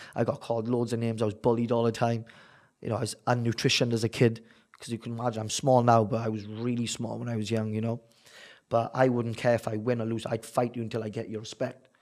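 A man with a South Wales accent talks at a very fast pace in a medium pitch and a monotone, flat intonation. The recording is very clean, with a silent background. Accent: South Wales valleys. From Wales, the valleys. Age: 30s. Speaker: bare-knuckle boxer. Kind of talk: interview.

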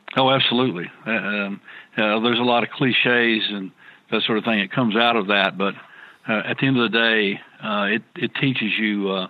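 A man talks at a fairly quick pace with a fairly low pitch and fairly even intonation. Noticeable background noise is present. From rural farming background. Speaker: business executive. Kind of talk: interview. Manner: hesitant, many fillers.

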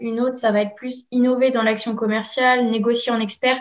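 A woman speaks with a fairly high pitch. Her intonation is flat and monotone. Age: 20s. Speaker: recruitment apprentice and bachelor's student. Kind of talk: interview. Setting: remote call.

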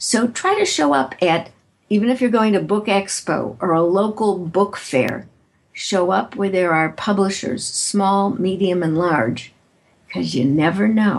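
With a normal speaking voice and an American accent, a woman talks at a fairly slow pace in a medium pitch, her intonation lively and her loudness very even, against a quiet background. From US Midwest, Chicago. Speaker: author and keynote speaker. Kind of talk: interview.

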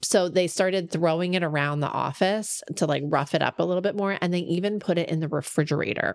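At a fairly quick pace with hardly any pauses, a woman speaks in an unremarkable speaking voice, fairly low in pitch, with ordinary pitch variation. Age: 40s. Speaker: podcast co-host, professional organizer. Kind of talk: casual chat.

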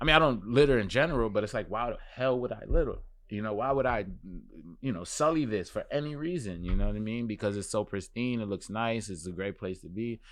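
Talking at a very fast pace in a New York accent, a man keeps a medium pitch with ordinary variation. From Brooklyn, New York City. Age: 30s. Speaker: fashion journalist and magazine editor. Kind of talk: casual interview.

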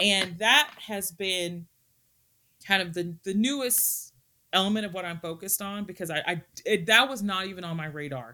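A woman with a Texan accent speaks at a moderate pace and medium pitch, her tone bright and sharp. Her intonation is lively, and her loudness swings widely. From Texas. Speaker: historian and Russia-Ukraine researcher. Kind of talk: casual interview chat.

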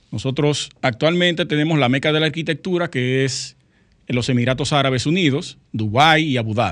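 A man with a plain, everyday voice speaks at a moderate pace, his pitch fairly high and its variation ordinary. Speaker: architect and radio co-host. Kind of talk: casual radio talk show.

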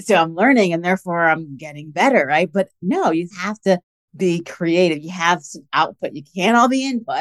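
A woman has an unremarkable speaking voice, fairly low in pitch, with lively intonation and a moderate pace. Her loudness swings a lot, and the sound is dry and close with no echo. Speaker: podcast host; lawyer. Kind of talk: scripted intro then casual interview.

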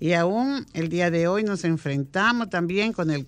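Against a quiet background, a woman talks in a normal speaking voice with ordinary pitch variation. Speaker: radio co-host. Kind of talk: news reading.

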